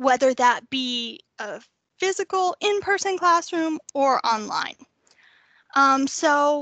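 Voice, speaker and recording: A woman with an American accent speaks in a raised, projected voice at a high pitch. Her tone is bright and sharp, and the sound is dry and close with no echo. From North Texas. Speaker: university staff presenter. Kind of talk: workshop presentation.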